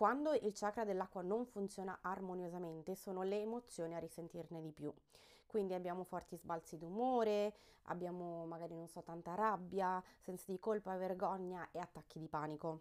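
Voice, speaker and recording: Speaking at a moderate pace in a medium pitch, a woman sounds animated and energetic, with ordinary pitch variation. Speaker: podcast host on crystals and wellbeing. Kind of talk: casual solo podcast monologue. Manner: animated, energetic after coffee.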